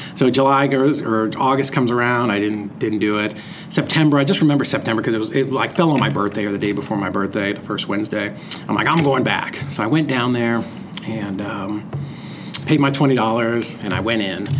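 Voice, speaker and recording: Over noticeable background noise and audible room echo, a man speaks at a fairly quick pace in a medium pitch with ordinary pitch variation. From Massachusetts, near Lowell. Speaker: real estate investor. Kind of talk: interview. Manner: casual, hesitant with fillers.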